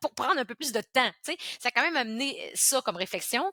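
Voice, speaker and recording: In a Quebec accent, a woman uses a raised, projected voice with a bright, sharp tone and high pitch. Her pitch swings very widely, and the sound is dry and close with no echo. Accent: Québécois French. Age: 40s. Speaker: entrepreneur. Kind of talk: interview. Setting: podcast. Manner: animated.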